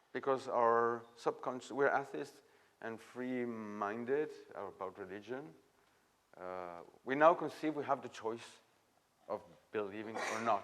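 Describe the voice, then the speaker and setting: A man speaks with a French accent at a medium pitch. His pitch variation is ordinary. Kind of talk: masterclass talk. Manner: halting.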